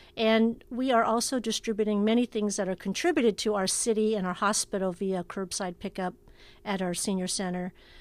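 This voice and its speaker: A woman's medium-pitched voice at a fairly quick pace, with fairly even intonation, on a very clean recording with a silent background. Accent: Californian. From US West Coast, Oakland, California. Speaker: city recreation and human services director. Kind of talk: interview. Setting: socially distanced conversation.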